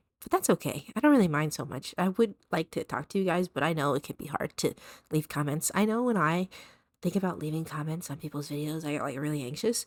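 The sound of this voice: Low in pitch, a woman talks at a fast pace. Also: dry, close sound with no echo.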